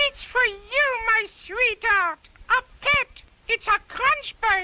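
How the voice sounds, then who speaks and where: A cartoonish character voice from a woman, squeaky and at an extremely high pitch, at a very slow pace with very even loudness. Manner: gushing, talkative.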